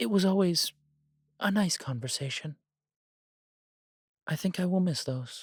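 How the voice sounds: A man's put-on character voice, high-pitched with a slightly husky edge and lively intonation, in a very clean recording with a silent background. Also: fairly slow pace.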